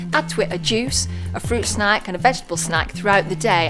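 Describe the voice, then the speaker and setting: The speech moves at a very fast pace with very wide pitch swings, music playing in the background. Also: woman. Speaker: TV presenter. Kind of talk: presenter talk to camera.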